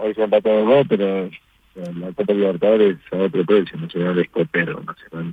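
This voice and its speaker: A man talks at a fairly quick pace in a plain, everyday voice, fairly low in pitch, with ordinary pitch variation. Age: 40s. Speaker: football goalkeeper. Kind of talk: interview.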